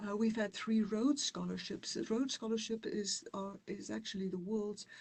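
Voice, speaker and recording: With a South African accent, a woman talks at a moderate pace. Her voice is somewhat breathy, and her intonation is fairly even. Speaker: university dean. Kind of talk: presentation. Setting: online webinar.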